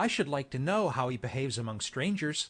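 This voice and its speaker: Putting on a character voice, a man speaks at a medium pitch and a fairly quick pace. His intonation is lively. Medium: read story.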